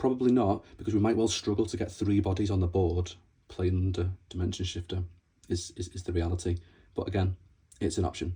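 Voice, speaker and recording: A man with a very deep, low voice speaks at a fairly quick pace, somewhat breathy and with fairly even intonation. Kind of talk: casual card game tutorial talk. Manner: casual, hesitant.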